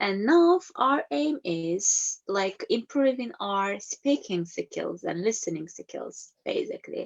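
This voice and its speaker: A woman speaks at a very slow pace with hardly any pauses. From Turkey. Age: 30s. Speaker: teacher. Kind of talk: presentation. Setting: video call. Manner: halting.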